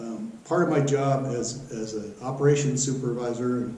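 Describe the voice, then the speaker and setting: With audible room echo and noticeable background noise, a man talks in fairly even intonation. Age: 60s. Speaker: local board candidate, retired utility manager. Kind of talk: self-introduction campaign statement. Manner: hesitant, many fillers.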